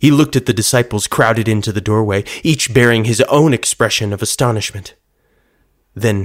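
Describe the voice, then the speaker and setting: An unremarkable speaking voice from a man, medium in pitch with ordinary pitch variation, on a very clean recording with a silent background. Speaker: podcast storyteller. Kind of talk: literary audiobook-style reading of a dramatized Bible story, with character voices. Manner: solemn, measured narration that swells into raw anguish in grief scenes; shifts to lighter, warm, playful tones for the joyful dialogue.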